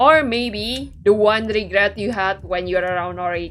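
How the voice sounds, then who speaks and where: A woman's medium-pitched voice with ordinary pitch variation over music in the background. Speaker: VTuber game streamer. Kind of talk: casual livestream chat while playing a game. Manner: chatty, conversational with many fillers.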